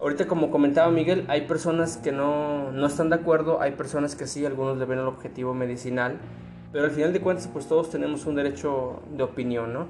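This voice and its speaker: Music plays in the background, and the room echo is audible. A man speaks at a fairly quick pace with a fairly high pitch and fairly even intonation. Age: 20s. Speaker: podcast host. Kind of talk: casual chat.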